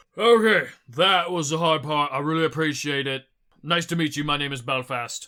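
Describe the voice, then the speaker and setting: A man speaks in a put-on character voice at a fairly high pitch. His pace is moderate. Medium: actual play. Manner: halting, hesitant.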